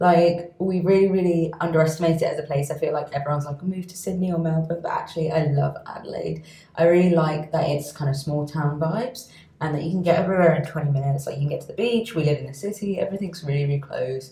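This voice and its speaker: Against noticeable background noise, a woman speaks very fast in a London accent. Her pitch is fairly low, with ordinary variation. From London, England. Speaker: doctor and skincare video creator. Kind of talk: casual vlog chat. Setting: at home in her apartment.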